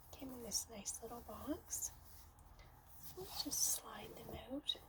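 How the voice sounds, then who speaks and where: Words come out very slowly. There is noticeable noise in the background. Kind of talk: casual talk to camera. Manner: soft-spoken, relaxing.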